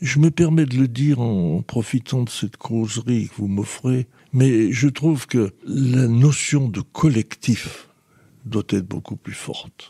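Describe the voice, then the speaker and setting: With a dark, mellow, somewhat breathy tone, a man talks very slowly at a medium pitch with ordinary pitch variation, and the sound is dry and close with no echo. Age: 80s+. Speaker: former mayor. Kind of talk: interview. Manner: halting.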